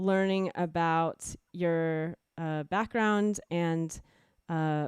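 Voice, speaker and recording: Delivered at a very slow pace with fairly even intonation, the speech has a dry, close sound with no echo and a quiet background. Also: woman, fairly low pitch for a woman. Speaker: livestream host and musician. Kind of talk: casual interview chat. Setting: video call livestream.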